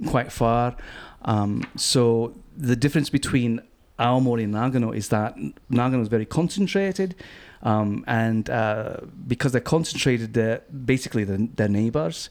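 A man speaks with a Glaswegian accent at a moderate pace. The recording is very clean, with a silent background. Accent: Glaswegian Scottish. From Scotland, Glasgow. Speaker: cider importer and magazine publisher. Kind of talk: casual interview. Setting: venue with small live audience.

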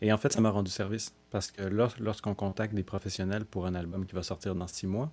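A man's fairly low voice has a dark, mellow tone, fairly even intonation and a fairly quick pace. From Montreal, Quebec. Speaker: singer-songwriter. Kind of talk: interview. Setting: remote from his home.

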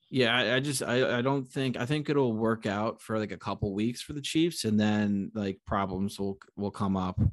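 Against a quiet background, a man with an American accent talks at a moderate pace with hardly any pauses, in a plain, everyday voice at a medium pitch with ordinary pitch variation. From Connecticut. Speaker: sports podcast host. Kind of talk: casual chat.

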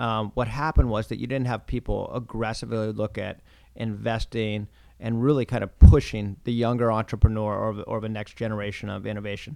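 Speaking at a fairly quick pace, a man with an American accent has a dark, mellow tone, a medium pitch, fairly even intonation and big swings in loudness. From US Pacific Northwest, Oregon coast. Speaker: venture capitalist. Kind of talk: interview.

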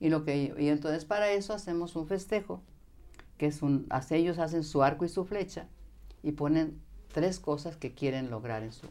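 This woman has a very deep, low pitch and a dark, mellow tone. She talks at a fairly slow pace with lively intonation. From Mexico, Jalisco countryside. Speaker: spiritual teacher. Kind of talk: interview. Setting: studio.

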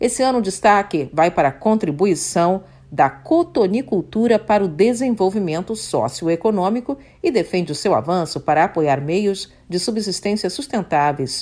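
Her tone is dark and mellow. This woman speaks at medium pitch and a moderate pace with lively intonation. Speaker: news anchor. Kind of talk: news bulletin reading, formal broadcast. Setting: studio. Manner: formal, measured, even-paced newsreader delivery.

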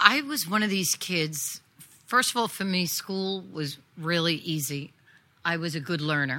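Speaking fairly slowly with a New York accent, a woman has a fairly low pitch, a bright, sharp tone and lively intonation on a very clean recording with a silent background. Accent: New York (Staten Island). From New York City, Staten Island. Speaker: audio branding composer and producer. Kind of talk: live interview. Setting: stage with audience.

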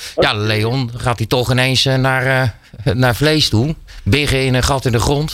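A man uses a plain, everyday voice at a fairly slow pace, his medium pitch showing ordinary variation. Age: 40s. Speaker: radio host. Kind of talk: casual chat. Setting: studio.

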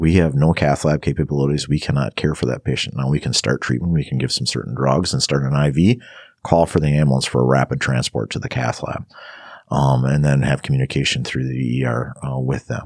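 Noticeable background noise accompanies a man with an American accent, whose very deep, low voice moves at a fairly quick pace. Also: fairly even intonation. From northern Wisconsin. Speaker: fire captain and paramedic. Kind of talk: interview. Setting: studio. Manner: halting.

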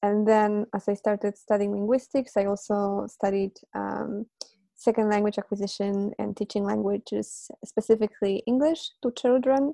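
Speaking in a Polish accent, a woman has a dark, mellow tone at medium pitch and a moderate pace. Her intonation stays fairly even, and the sound is dry and close with no echo. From Poland. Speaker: polyglot and language teacher. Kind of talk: interview, conversational.

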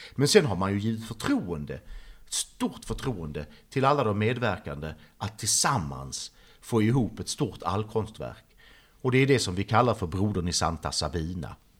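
A man speaks at a fairly low pitch with vocal fry. His pitch swings very widely. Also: moderate pace. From Sweden, Trelleborg (Skåne). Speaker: artist. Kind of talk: interview.

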